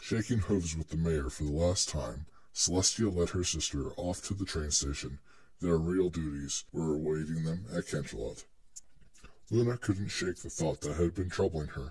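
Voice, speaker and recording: At a moderate pace, a man with a very deep, low, somewhat breathy voice speaks with ordinary pitch variation. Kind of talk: dramatic reading of fan fiction.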